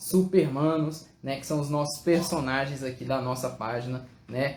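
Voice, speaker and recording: Noticeable background noise is present. Room echo is audible too. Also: man. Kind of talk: live stream hosting. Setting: live stream.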